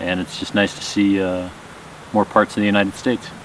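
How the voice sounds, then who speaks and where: With noticeable background noise behind him, a man in an American accent speaks in a very deep, low voice with monotone, flat intonation. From Minnesota, US Upper Midwest. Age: 40s. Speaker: pilot and hiker. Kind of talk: casual interview on trail. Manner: hesitant, many fillers.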